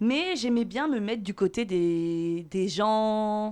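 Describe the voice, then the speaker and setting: Fairly high in pitch, a woman speaks with lively intonation. The recording is very clean, with a silent background. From Paris region, Seine-et-Marne (France). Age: 30s. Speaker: podcast guest. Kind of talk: casual chat.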